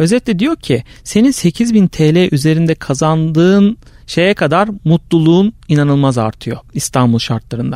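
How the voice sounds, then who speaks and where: In a dry, close sound with no echo, a man with a fairly high pitch and a dark, mellow tone speaks at a fairly slow pace with very even loudness and hardly any pauses. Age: 30s. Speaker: marketing consultant. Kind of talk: casual chat.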